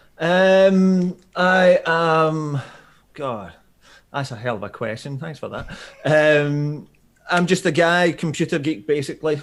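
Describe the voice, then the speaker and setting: With a Scottish accent, a man speaks at a very slow pace and a fairly high pitch. His pitch variation is ordinary, while his loudness swings a lot. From Scotland. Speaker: startup founder pitching to investors. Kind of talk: video call pitch interview.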